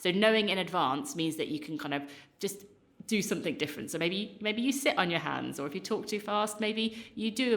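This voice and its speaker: An energetic, enthusiastic woman with lively intonation and a fairly quick pace, amid noticeable background noise. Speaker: podcast co-host. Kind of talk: casual chat. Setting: podcast, both hosts in same room. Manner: fast.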